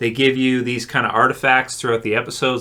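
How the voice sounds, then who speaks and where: A man speaks at medium pitch in a bright, sharp tone. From Canada. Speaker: TV show reviewer. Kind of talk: video review. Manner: halting, many fillers.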